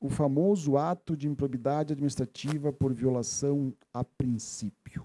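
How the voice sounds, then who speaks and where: Fairly high for a man, this voice has a dark, mellow tone and a southern Brazilian accent. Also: fairly even intonation, moderate pace. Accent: gaúcho (southern Brazilian). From Rio Grande do Sul, Missões region, southern Brazil. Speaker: legal expert, seminar speaker. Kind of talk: lecture. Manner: halting, with fillers and self-corrections.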